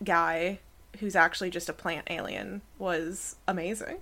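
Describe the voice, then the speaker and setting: A woman's bright, sharp tone with vocal fry, fairly even intonation, and an American accent, in a very clean recording with a silent background. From United States. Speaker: academic and podcast co-host. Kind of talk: casual chat.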